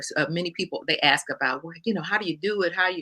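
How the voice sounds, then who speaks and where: A woman's bright, sharp voice with an American accent. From US South, Houston Third Ward, Texas. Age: 60s. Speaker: co-pastor and bible teacher. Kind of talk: podcast interview. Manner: halting.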